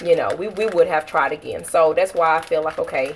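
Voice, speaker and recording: A woman speaks at a moderate pace with a medium pitch and ordinary pitch variation. Noticeable background noise runs under her voice. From Texas. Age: 30s. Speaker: family vlogger. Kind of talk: casual livestream chat with viewers.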